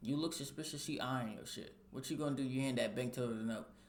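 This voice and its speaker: A man talks at a medium pitch and a very fast pace. Room echo is audible. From Kentucky. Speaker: streamer reacting to videos. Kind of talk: reaction commentary. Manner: animated.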